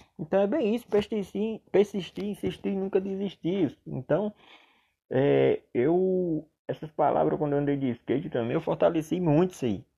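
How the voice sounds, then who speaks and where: A man's high voice moves with lively intonation as he talks at a moderate pace. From Paraíba, Brazilian Northeast. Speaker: barber and barbering coach. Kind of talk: solo monologue podcast. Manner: halting, many fillers; serious, not very animated.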